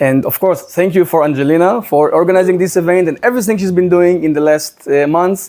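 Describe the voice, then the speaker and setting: A man with a strong Israeli accent talks at a high pitch in a dark, mellow tone. He moves at a fairly quick pace with hardly any pauses and ordinary pitch variation. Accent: thick Israeli. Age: 30s. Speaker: social media commentator. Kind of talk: presentation. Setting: in a house with audience.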